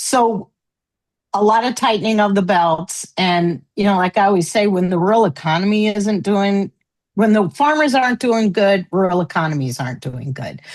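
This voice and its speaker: At a moderate pace, a woman speaks in a normal speaking voice with a medium pitch and lively intonation. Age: 60s. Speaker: farmer. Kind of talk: panel discussion. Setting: live panel.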